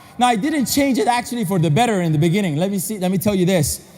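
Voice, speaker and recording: This man's tone is animated. His intonation is lively. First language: non-English. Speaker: motivational speaker. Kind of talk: convention speech. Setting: stage with audience.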